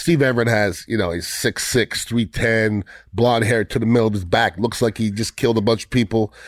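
A man of medium pitch in a normal speaking voice, fairly even intonation and a moderate pace, with a dry, close sound and no echo. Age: 50s. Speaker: podcast host. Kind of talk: casual chat.

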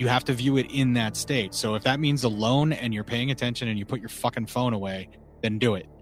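Fairly even intonation at a fairly quick pace in an unremarkable speaking voice. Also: man, medium pitch for a man. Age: 40s. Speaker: horror film podcaster. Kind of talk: casual chat.

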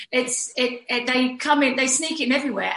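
A woman speaks at a moderate pace with a British accent. Noticeable background noise runs behind her. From UK. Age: 50s. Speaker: fitness instructor and mentor. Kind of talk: casual chat.

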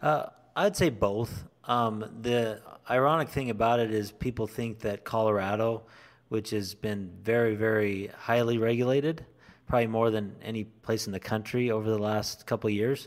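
Speaking in an ordinary speaking voice, a man keeps a moderate pace at medium pitch with fairly even intonation. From southern Idaho. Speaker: co-founder of an industry advocacy group. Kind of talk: interview.

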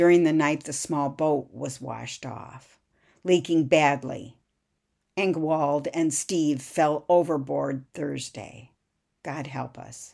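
In a very clean recording with a silent background, a woman speaks very slowly in a very deep, low voice with a dark, mellow tone, vocal fry and big swings in loudness. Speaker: podcast host and author. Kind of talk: history documentary narration. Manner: measured, steady storyteller pace, solemn and even; formal, clear, reads aloud from script.

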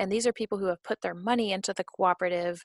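In an ordinary speaking voice, a woman talks at a medium pitch with ordinary pitch variation. The sound is dry and close with no echo, against a quiet background. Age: 30s. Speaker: lawyer and nonprofit director. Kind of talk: interview.

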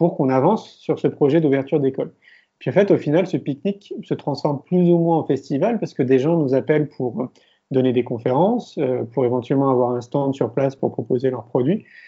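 A man in an ordinary speaking voice talks at a fairly quick pace, with fairly high pitch and ordinary pitch variation. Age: 40s. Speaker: filmmaker and entrepreneur. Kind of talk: interview.

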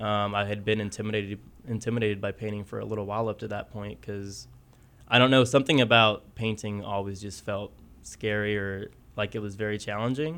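This is a man with a normal speaking voice and an American accent. His pitch is fairly low and his intonation fairly even. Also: fairly quick pace. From southwest Kansas, US. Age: 30s. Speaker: painter. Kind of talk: interview.

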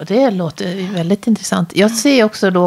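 Noticeable background noise behind a woman's ordinary rise and fall of pitch. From Dalarna, Sweden. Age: 40s. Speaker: podcast host. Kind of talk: interview. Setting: her kitchen.

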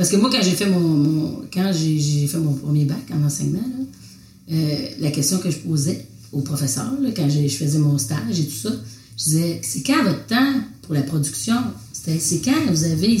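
Very deep, low pitch from a woman, very wide pitch swings, audible room echo and noticeable background noise. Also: moderate pace. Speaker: visual artist, printmaker. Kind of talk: casual conversation.

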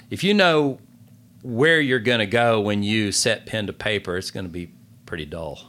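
With a Southern US accent, a man speaks at a fairly low pitch and a moderate pace. His tone is bright and sharp, with lively intonation. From North Carolina (Gaston County, rural). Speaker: novelist. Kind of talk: interview. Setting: studio.

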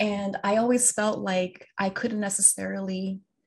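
A woman with a medium pitch speaks somewhat breathily at a fairly slow pace. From Los Angeles. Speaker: educator and author. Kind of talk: casual interview.

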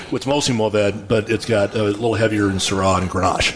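A man speaks in an American accent at a fairly low pitch. His intonation is fairly even, and there is noticeable background noise. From West Texas, Abilene. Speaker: geologist, oil wildcatter and winery owner. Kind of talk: casual interview.

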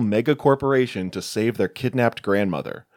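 With a normal speaking voice, a man speaks at medium pitch and a fairly quick pace with ordinary pitch variation, on a very clean recording with a silent background and a dry, close sound with no echo. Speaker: podcast host, horror film reviewer. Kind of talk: casual chat.

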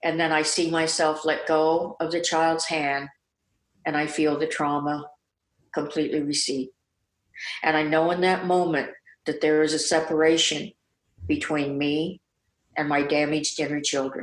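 A woman with an American accent, a very deep low pitch and monotone, flat intonation, at a moderate pace with long, frequent pauses, very even loudness, in a very clean recording with a silent background. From US Midwest. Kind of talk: interview. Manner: blissful, elevated tone.

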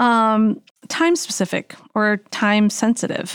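A woman is heard on a very clean recording with a silent background. The sound is dry and close, with no echo. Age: 40s. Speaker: dietitian and health coach. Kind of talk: casual chat.

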